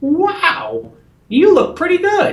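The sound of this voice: The pitch is extremely high. It comes from a put-on character voice.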